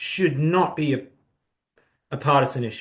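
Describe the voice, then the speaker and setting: A somewhat breathy voice at a moderate pace, with lively intonation. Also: man. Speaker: human rights organization leader. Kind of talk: townhall address. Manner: earnest.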